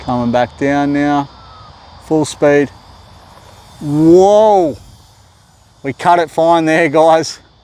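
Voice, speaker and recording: A fairly high-pitched man at a very slow pace, with long, frequent pauses, ordinary pitch variation and noticeable background noise. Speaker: RC plane hobbyist YouTuber. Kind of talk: live flying commentary. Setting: outdoors at a flying field. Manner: casual, halting with repeated words.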